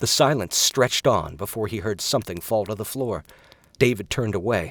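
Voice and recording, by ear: A passage of reading aloud in a natural voice.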